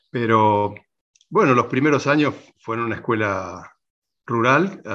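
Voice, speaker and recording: Against a quiet background, a man of medium pitch speaks at a fairly slow pace. His tone is bright and sharp. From Argentina, southwest Córdoba province. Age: 60s. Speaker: farmer. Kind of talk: interview. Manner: halting, many repetitions.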